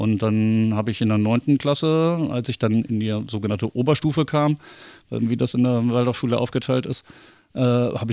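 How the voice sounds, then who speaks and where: In a very clean recording with a silent background, a man speaks at a moderate pace and medium pitch with fairly even intonation. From Bremen, northern Germany. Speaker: theatre lighting technician. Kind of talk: casual interview. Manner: hesitant, many fillers.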